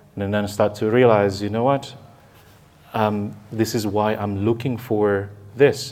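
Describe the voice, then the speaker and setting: A man's fairly low voice in a flat monotone. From Indonesia. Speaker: life coach. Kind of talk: conversational talk. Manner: halting.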